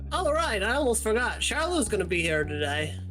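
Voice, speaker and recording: This put-on character voice sounds nasal and moves at a fairly quick pace. Loud music plays in the background. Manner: silly, exaggerated.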